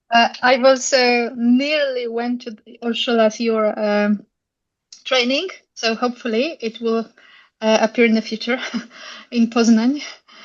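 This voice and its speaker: Over a quiet background, a woman with a Polish accent speaks fairly slowly at a fairly high pitch, her intonation fairly even, with long, frequent pauses and big swings in loudness. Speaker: school head. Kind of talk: casual chat.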